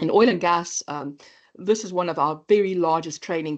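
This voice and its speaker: Against a quiet background, a woman speaks with a South African accent in a very deep, low voice. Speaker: AI training company presenter. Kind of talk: webinar presentation. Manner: halting, many fillers.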